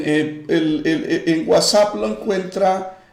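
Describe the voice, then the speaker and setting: A man talks over noticeable background noise, with audible echo from the room. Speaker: pastor. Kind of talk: live-streamed Bible study with greetings and prayer. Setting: online livestream.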